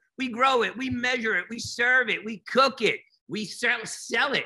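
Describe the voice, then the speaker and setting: A man's raised, projected voice with a bright, sharp tone against a quiet background. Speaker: educator giving keynote. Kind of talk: keynote presentation. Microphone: webcam.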